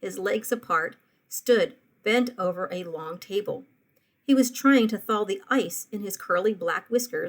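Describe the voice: With a quiet background, the text is given as plain reading aloud.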